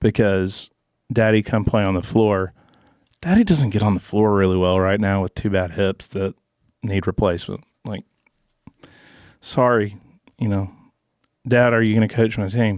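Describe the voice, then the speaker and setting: With a Southern US accent, a man speaks at a moderate pace with fairly even intonation and long, frequent pauses, on a very clean, silent-background recording that is dry and close with no echo. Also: fairly low pitch for a man. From Arkansas. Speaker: former college football player. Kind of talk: casual chat.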